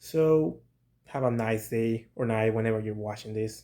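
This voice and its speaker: With a non-native accent, a man speaks fairly slowly in a dark, mellow tone, his intonation fairly even. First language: not English. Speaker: toy reviewer, channel owner. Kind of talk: toy review vlog. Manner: casual, hesitant with fillers.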